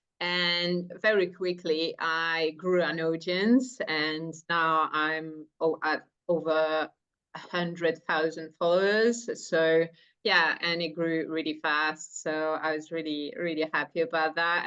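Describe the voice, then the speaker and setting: Against a quiet background, a woman with a French accent speaks at a fairly slow pace in a bright, sharp tone with fairly even intonation. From France. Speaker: entrepreneur. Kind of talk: interview.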